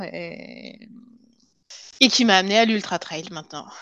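This woman's medium pitch holds fairly even intonation, and the background is quiet. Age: 30s. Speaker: cardiac surgeon turned pharma industry worker. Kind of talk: interview testimony. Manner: halting, frequent repetitions.

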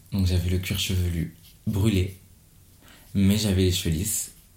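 Noticeable background noise sits behind a man's very deep, low voice. His delivery is monotone and flat. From Gabon. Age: 20s. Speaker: hairdresser. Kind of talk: interview. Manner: halting.

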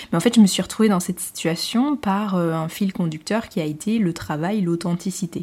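Somewhat breathy and dark, mellow in tone, a woman speaks with ordinary pitch variation. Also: medium pitch for a woman, moderate pace, hardly any pauses. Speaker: podcast host and business owner. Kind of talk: solo podcast monologue. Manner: hesitant, many fillers. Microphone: new podcast equipment, improved sound.

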